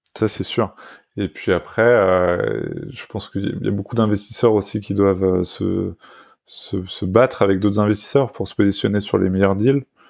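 The man talks at a moderate pace with a fairly low pitch and fairly even intonation. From France, Paris region (Essonne). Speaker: tech journalist. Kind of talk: interview. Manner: halting, with frequent repetitions.

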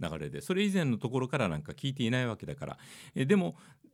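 On a very clean recording with a silent background, a man talks at a very fast pace, his pitch swinging very widely. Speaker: radio DJ and podcast host. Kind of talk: solo chart-review monologue.

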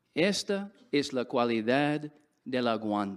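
Very wide pitch swings from a man with an English accent, on a very clean recording with a silent background. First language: English (speaking Spanish). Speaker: religious speaker. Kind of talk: sermon.

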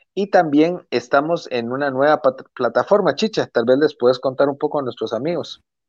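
With an unremarkable speaking voice, a man talks at a moderate pace and a fairly high pitch, the sound dry and close with no echo against a quiet background. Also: ordinary pitch variation. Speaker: podcast co-host. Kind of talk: casual chat.

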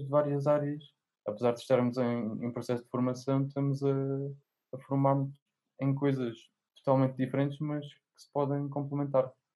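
Pitched fairly high, a man talks in a monotone, flat intonation. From Alentejo, Portugal. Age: 20s. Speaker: young writer. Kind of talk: casual chat.

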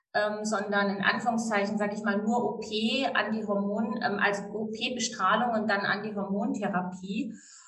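At a moderate pace, a woman speaks with fairly high pitch. Noticeable background noise and audible room echo are present. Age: 50s. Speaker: divorce lawyer and breast cancer coach. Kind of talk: casual interview. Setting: outdoors on a sunny terrace.

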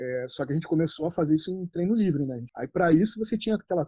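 A man with a dark, mellow tone and a fairly high pitch. The sound is dry and close, with no echo. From Rio de Janeiro state, Brazil (Região dos Lagos). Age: 40s. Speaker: martial arts researcher and judo instructor. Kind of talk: interview. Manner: halting, with frequent repetitions and fillers.

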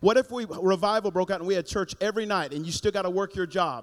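Animated in tone, a man speaks at a very fast pace with a high pitch and ordinary pitch variation. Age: 40s. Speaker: pastor. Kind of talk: sermon. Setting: church.

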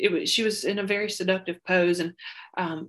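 A woman speaks at a medium pitch with a Southern US accent. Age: 30s. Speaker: podcast guest, school worker. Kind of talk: casual chat.

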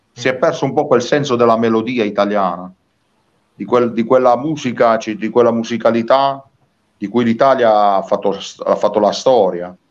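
A man at medium pitch and moderate pace, with ordinary pitch variation and long, frequent pauses. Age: 40s. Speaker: singer-songwriter. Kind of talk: interview. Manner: animated.

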